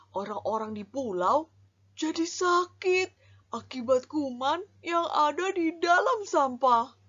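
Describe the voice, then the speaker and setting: Putting on a character voice, a woman speaks at a high pitch and a fairly slow pace. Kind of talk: children's story character voice. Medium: read story. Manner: friendly and expressive.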